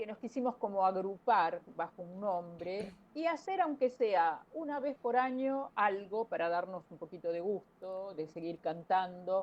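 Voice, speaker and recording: Her pitch sits in the medium range as this woman speaks with lively intonation. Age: 60s. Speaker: opera singer. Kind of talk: interview. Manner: hesitant, many fillers.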